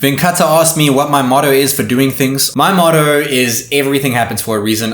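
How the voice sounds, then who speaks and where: There is noticeable background noise and audible room echo. A man speaks at a fairly quick pace with ordinary pitch variation. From South Africa. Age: 20s. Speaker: tech YouTuber. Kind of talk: casual Q&A monologue.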